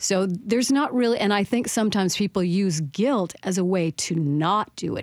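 In an American accent, a woman with an unremarkable speaking voice keeps a moderate pace and ordinary pitch variation. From French Canadian American border town. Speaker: author and speaker. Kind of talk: radio interview.

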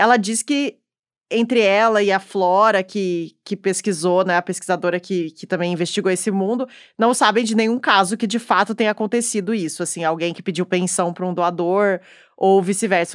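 A woman with an unremarkable speaking voice and medium pitch talks at a moderate pace with ordinary pitch variation and big swings in loudness, in a dry, close sound with no echo. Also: very clean recording, silent background. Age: 30s. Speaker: podcast host. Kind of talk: scripted conversational podcast.

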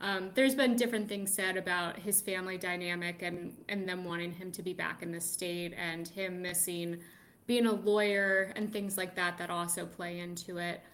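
This woman has an ordinary speaking voice at medium pitch. She holds a moderate pace and fairly even intonation. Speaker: political reporter. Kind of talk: radio news roundup.

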